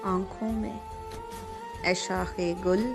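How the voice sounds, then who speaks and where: Music plays in the background as a woman talks. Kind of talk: poetry reading.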